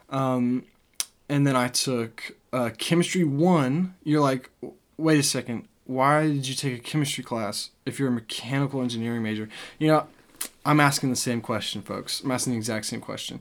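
With an American accent, an unremarkable speaking voice moves at a moderate pace and keeps fairly even intonation. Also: man, medium pitch for a man. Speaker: podcast co-host, college student. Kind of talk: casual chat.

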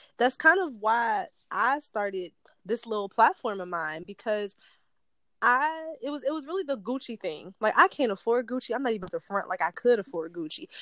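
A woman's fairly high, bright, sharp voice with an American accent and very wide pitch swings at a moderate pace, dry and close with no echo, over a quiet background. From Detroit. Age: 20s. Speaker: podcast host. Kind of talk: casual interview.

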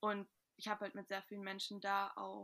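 Her tone bright and sharp, a woman with a medium pitch speaks at a moderate pace. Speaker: podcast co-host, student. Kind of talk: casual chat.

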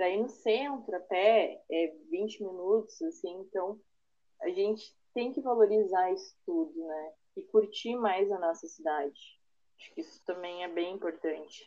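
A woman with a medium pitch and a dark, mellow tone speaks at a fairly slow pace, her pitch swinging very widely and her loudness rising and falling sharply. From Parobé, Rio Grande do Sul, Brazil. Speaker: architect. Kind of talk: casual interview.

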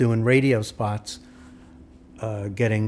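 Speaking with a New York accent, a man moves at a moderate pace in monotone, flat intonation. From New York, Brooklyn/Queens. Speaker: recording engineer and producer. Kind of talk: casual interview. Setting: at his home.

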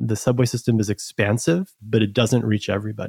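A normal speaking voice from a man with an American accent, medium in pitch and moderate in pace. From New York City (Queens). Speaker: startup team member, former ride-hailing operator and investor. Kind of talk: casual chat.

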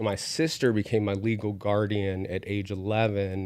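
A plain, everyday voice from a man with an American accent, fairly low pitch, fairly even intonation and a moderate pace. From West Virginia. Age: 30s. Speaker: university academic advisor. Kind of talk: casual interview.

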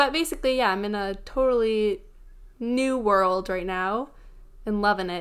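A woman with a normal speaking voice talks at a moderate pace in a fairly high pitch with ordinary pitch variation, recorded very cleanly against a silent background. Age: 20s. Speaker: podcast co-host. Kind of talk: casual chat.

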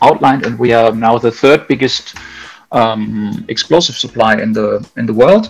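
A man speaks with a German accent at a medium pitch and fairly even intonation. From Germany. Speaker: mining explosives technical manager. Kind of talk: interview.

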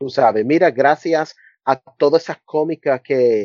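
A man's medium-pitched voice. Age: 40s. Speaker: university professor. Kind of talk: casual interview. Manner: halting.

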